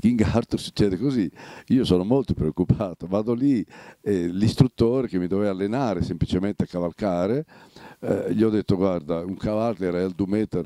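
A man's very deep, low voice with a dark, mellow tone and lively intonation, dry with no echo, over a quiet background. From Romagna, Italy. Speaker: actor. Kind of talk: interview answer. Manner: lively storytelling, humorous. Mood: lively, amused storytelling. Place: home room. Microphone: handheld.

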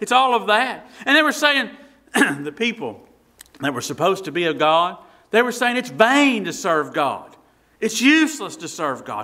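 A man's high-pitched, raised and projected voice at a moderate pace with very wide pitch swings against a quiet background. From Tennessee, United States. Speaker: Baptist pastor. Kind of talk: sermon. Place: church.

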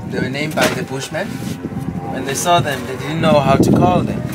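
Clear music plays in the background as a man speaks. His pace is fairly quick, with ordinary pitch variation. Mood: playful, joking. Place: open country. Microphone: camera far.

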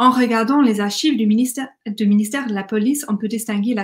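A woman with an English accent speaks at a fairly quick pace and a fairly high pitch. Her voice is somewhat breathy, with fairly even intonation. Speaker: academic conference speaker; conference speaker. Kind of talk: academic conference talk. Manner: hesitant, with fillers and restarts. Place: home room. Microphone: webcam.

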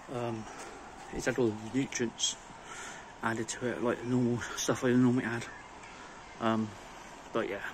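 There is noticeable background noise as a man speaks at a moderate pace with monotone, flat intonation. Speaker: home lawn care vlogger. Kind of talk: casual vlog chat. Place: garden. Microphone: phone near.

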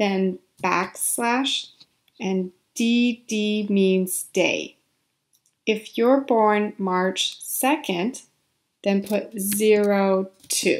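The speaker goes at a very slow pace with fairly even intonation and long, frequent pauses. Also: woman, medium pitch for a woman. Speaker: ESL instructor. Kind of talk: tutorial.

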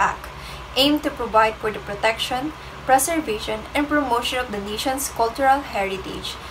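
This is a woman with a fairly high pitch. Noticeable background noise runs behind her. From Philippines. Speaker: student presenter; presenter. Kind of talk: class report. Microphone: phone near.

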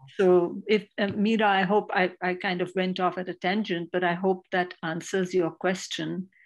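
A woman speaks at a moderate pace in a flat, monotone delivery against a quiet background. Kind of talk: panel discussion. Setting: video call.

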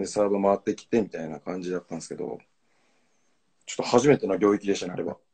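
Against a quiet background, a man with a dark, mellow tone and fairly low pitch speaks very fast, with ordinary pitch variation, big swings in loudness and long, frequent pauses. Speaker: volleyball player. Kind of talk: casual conversation on a live stream. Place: home room. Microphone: video call.

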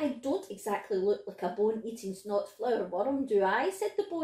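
What we hear is plain reading aloud.

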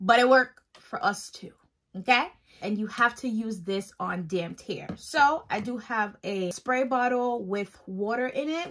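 Her intonation lively, a woman speaks at a very slow pace. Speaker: hair care vlogger. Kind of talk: casual tutorial vlog chat. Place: home room. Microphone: phone near.

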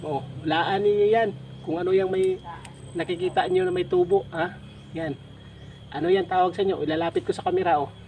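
A man's high-pitched, very fast speech, with long, frequent pauses, big swings in loudness, and noticeable background noise. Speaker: video creator. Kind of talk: casual vlog talk to viewers. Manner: animated, teasing; stumbling over words.

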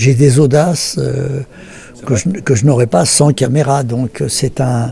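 A man talks at a very slow pace in a dry sound with no echo. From France. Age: 80s+. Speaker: film director. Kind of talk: interview answer. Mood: reflective, thoughtful.

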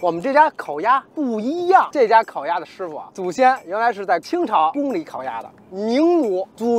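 The voice moves at a moderate pace with hardly any pauses, very wide pitch swings and big swings in loudness, in a dry sound with no echo. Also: man. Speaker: food vlogger. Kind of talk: casual vlog chat. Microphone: phone near.

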